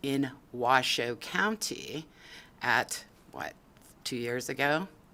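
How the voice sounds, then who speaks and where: A woman's very deep, low pitch with a bright, sharp tone and ordinary pitch variation. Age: 60s. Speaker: public testifier, assault survivor. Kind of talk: public testimony. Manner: emotional, emphatic.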